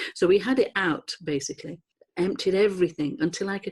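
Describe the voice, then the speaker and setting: Her voice is somewhat breathy. The woman talks at a fairly quick pace with lively intonation. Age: 60s. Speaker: spiritual retreat leader. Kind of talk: interview testimony.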